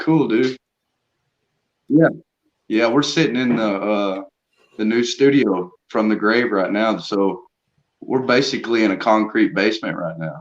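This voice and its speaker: A man with a Southern US accent speaks at a fairly slow pace and medium pitch, with ordinary pitch variation. He leaves long, frequent pauses. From US South. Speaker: metal band musician. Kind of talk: casual interview chat. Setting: concrete basement studio.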